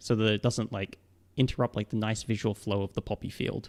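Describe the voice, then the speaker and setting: A man talks at a fairly quick pace with an Australian accent. The recording is very clean, with a silent background and a dry, close sound with no echo. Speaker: psychologist. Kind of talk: livestream Q&A. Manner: casual, lots of fillers.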